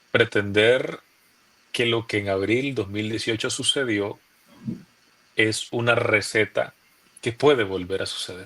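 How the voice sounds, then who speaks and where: A man speaks with a Nicaraguan accent. His pace is very slow. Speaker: opposition youth leader, former political prisoner. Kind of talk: interview answer.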